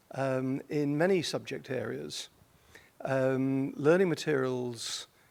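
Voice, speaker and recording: A medium-pitched man with a British accent. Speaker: journal editor, audience member asking question. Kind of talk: audience question at conference. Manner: hesitant, many ums.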